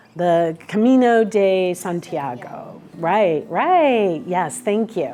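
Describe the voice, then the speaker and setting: Over noticeable background noise, a woman with a medium-pitched voice speaks very slowly and with lively intonation, hardly pausing at all. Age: 50s. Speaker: minister of spiritual community. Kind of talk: casual spiritual talk. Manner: halting.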